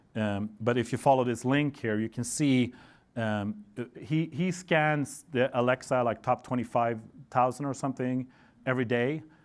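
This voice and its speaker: This man talks in a Swedish accent. The recording is very clean, with a silent background. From Sweden. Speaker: network engineer presenter. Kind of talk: conference talk. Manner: casual with frequent fillers.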